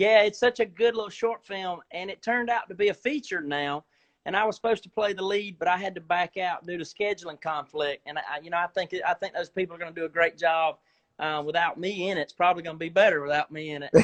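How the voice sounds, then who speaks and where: At a very fast pace, this speaker talks with a Southern US accent and ordinary pitch variation. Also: man, high pitch for a man. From US South, South Georgia. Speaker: actor. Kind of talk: casual chat. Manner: animated. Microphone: video freezing during call.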